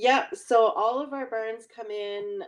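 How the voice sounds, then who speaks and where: Medium-pitched speech from a woman in a Nova Scotia accent, at a fairly slow pace. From Nova Scotia, Annapolis Valley. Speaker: chicken farmer. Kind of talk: live q&a interview. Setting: live stream from farm.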